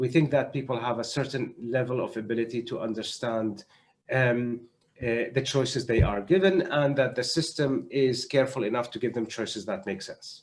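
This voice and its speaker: This man speaks at medium pitch with ordinary pitch variation. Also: moderate pace. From Syria. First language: Arabic. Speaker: doctor and humanitarian health adviser. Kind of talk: panel discussion. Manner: halting.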